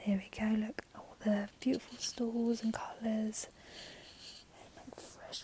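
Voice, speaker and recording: A whispering woman at a very slow pace. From London, England. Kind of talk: casual talk to camera. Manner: soft-spoken.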